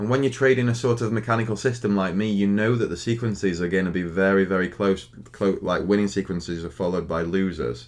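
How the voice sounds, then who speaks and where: Talking very fast with hardly any pauses, a man with a Stoke accent uses a fairly low pitch and ordinary pitch variation. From Stoke-on-Trent, England. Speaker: day trader streamer. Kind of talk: live stream chat. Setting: live stream. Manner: halting.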